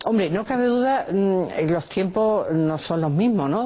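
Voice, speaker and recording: A woman's voice with a dark, mellow tone. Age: 70s. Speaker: mother of thirteen, wife of a football club owner. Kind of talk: interview. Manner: halting, many fillers and restarts.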